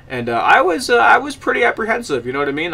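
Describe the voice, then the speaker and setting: Fairly brisk speech from a man, with background noise clearly noticeable. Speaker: gaming YouTuber. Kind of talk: casual video game review. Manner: fast; halting, many fillers and repeats.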